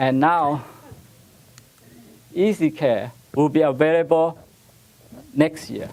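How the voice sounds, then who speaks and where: With a Taiwanese accent, a man speaks at a very slow pace with long, frequent pauses, a fairly high pitch and fairly even intonation. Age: 80s+. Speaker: rose breeder. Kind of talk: conference presentation. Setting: stage with audience. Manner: halting.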